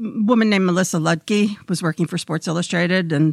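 A woman with a fairly low pitch and an ordinary speaking voice talks at a fairly quick pace with ordinary pitch variation, recorded dry and close with no echo. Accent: American. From Brooklyn, New York. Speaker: veteran hockey sportswriter. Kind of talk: interview storytelling.

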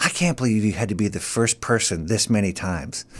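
A man with an American accent talks at a very fast pace with lively intonation. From US Midwest. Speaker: comedian and actor. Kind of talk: casual chat. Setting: studio.

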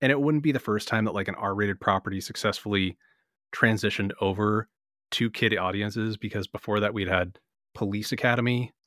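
A man with a plain, everyday voice and fairly low pitch speaks at a fairly quick pace with fairly even intonation, on a very clean recording with a silent background and a dry, close sound with no echo. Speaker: comics podcast co-host. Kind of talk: casual chat.

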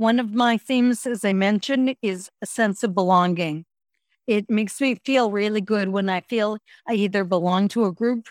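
A woman speaks in a normal speaking voice at medium pitch and a moderate pace. The recording is very clean with a silent background, dry and close with no echo. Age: 60s. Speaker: gratitude and mindfulness expert. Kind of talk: interview.

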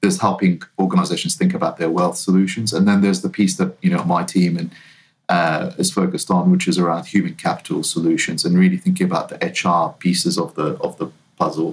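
Speaking very fast, this man has a New Zealand accent. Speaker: talent management consultant. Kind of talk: interview. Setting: remote call.

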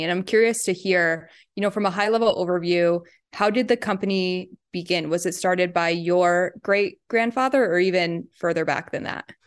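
A woman with an ordinary speaking voice and an American accent talks at a moderate pace, her pitch medium. Her pitch varies in an ordinary way against a quiet background. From New York State, US. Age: 20s. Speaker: podcast guest co-host. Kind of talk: interview.

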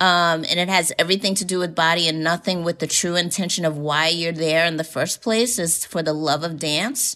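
On a very clean recording with a silent background, a woman talks at a fairly quick pace with fairly even intonation, a bright, sharp tone and a fairly low pitch. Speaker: choreographer. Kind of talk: interview.

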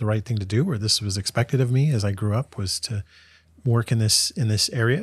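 Recorded very clean with a silent background and a dry, close sound with no echo, a man speaks in a somewhat breathy voice at a fairly low pitch. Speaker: professor. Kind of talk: casual interview.

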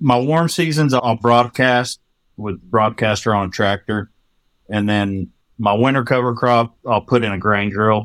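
A man with a West Texas accent talks at a fairly slow pace, medium in pitch with ordinary pitch variation. The sound is dry and close, with no echo. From Texas Panhandle. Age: 40s. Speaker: farmer. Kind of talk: casual chat.

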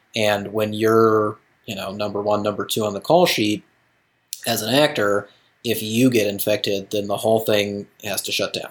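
This is a man with a plain, everyday voice, fairly low in pitch. His intonation stays fairly even at a moderate pace. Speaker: TV editor and podcast co-host. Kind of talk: casual chat. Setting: video call.

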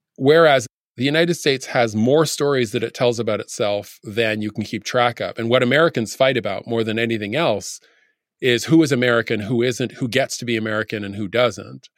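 A man speaks in an ordinary speaking voice at a medium pitch, with ordinary pitch variation. His pace is fairly quick, and the recording is very clean with a silent background. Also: dry, close sound with no echo. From Canada. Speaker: professor. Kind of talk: panel discussion.

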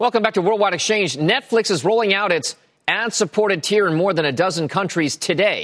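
A man's voice with vocal fry, dry and close with no echo, on a very clean recording with a silent background. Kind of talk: newsreading. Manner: brisk, crisp, authoritative anchor delivery.

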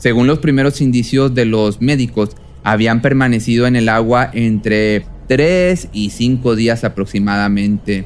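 A man with an ordinary speaking voice talks at a fairly slow pace and medium pitch, with ordinary pitch variation and very even loudness. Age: 30s. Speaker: true crime podcast narrator. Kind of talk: scripted storytelling narration.

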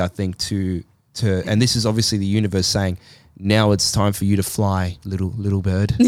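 A man with an Australian accent, a fairly low pitch and a fairly quick pace. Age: 30s. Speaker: podcast co-host. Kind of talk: casual chat.

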